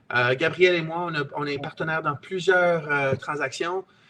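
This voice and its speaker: A man's fairly high voice at a moderate pace, with ordinary pitch variation and noticeable background noise. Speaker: real estate investor and trainer. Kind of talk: webinar sales pitch. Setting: online webinar. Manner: halting, with many repetitions and hesitations.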